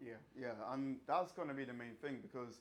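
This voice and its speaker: Talking at a fairly quick pace, a man with a slight Irish accent keeps a medium pitch and fairly even intonation. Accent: slight Irish twang. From Ireland, countryside. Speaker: fitness coach and bodybuilder. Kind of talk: seminar talk. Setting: small room with live audience.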